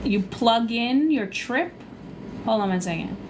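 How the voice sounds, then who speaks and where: A woman with a Long Island accent, fairly high-pitched, at a moderate pace, with audible room echo and noticeable background noise. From Long Island, New York. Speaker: cruise vlogger and travel agent. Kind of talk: live stream Q&A. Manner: casual, chatty.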